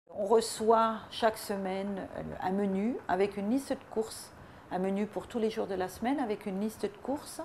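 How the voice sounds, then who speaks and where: This woman's voice sits at a medium pitch, and she moves at a moderate pace. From Paris region, France. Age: 60s. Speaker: weight-loss program customer. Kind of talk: testimonial. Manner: halting, many hesitations.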